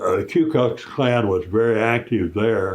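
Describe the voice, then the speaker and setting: With an American accent, a man speaks at a fairly slow pace in a somewhat breathy voice. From US South, Kentucky. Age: 90s. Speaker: war veteran. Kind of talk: testimony. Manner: halting.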